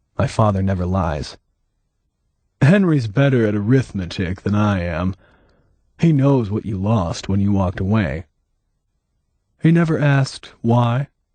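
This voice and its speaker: Against a quiet background, a man puts on a character voice with a fairly low pitch and lively intonation, keeping a moderate pace broken by long, frequent pauses. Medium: read story. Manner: terse, guarded.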